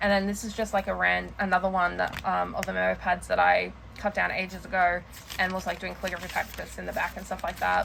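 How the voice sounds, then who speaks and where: A woman talking at a very fast pace over noticeable background noise. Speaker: planner and journaling vlogger. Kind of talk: casual show-and-tell vlog. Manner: halting, filler-heavy.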